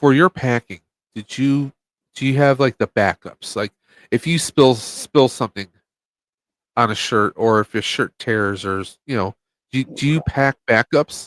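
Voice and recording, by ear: The sound is dry and close with no echo. The pace is fairly slow, with a fairly bright tone and ordinary pitch variation. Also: man, medium pitch for a man.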